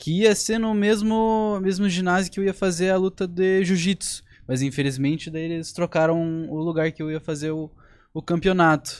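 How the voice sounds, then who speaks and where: A man with a high-pitched voice, captured in a very clean recording with a silent background. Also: ordinary pitch variation, moderate pace. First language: English (speaking Portuguese). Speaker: young fighter. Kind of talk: casual chat.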